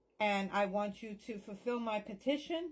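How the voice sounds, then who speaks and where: The speech moves at a fairly slow pace and is somewhat breathy. Pitch varies in an ordinary way. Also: woman. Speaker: psychic medium. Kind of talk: spell tutorial with prayer. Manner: whispering parts.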